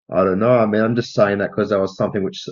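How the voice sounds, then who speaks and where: A man speaks with an Australian accent and fairly even intonation. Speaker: film podcast co-host. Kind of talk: casual chat.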